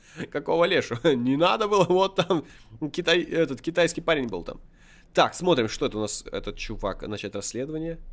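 A man talks at a moderate pace in a high pitch, his voice swinging very widely up and down. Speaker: gaming video creator. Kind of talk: gameplay commentary. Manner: animated.

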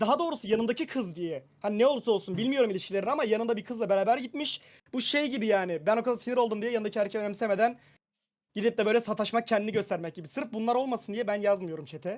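Against a quiet background, a man talks at a very fast pace in a high pitch with ordinary pitch variation. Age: 20s. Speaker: medical student. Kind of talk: casual chat.

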